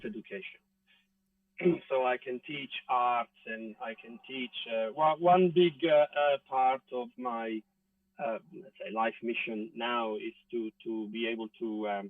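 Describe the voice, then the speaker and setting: A man talks at a very slow pace, his loudness swinging widely. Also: medium pitch for a man, lively intonation. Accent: Italian. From Italy. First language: Italian. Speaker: actor. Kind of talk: interview answer. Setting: outdoors.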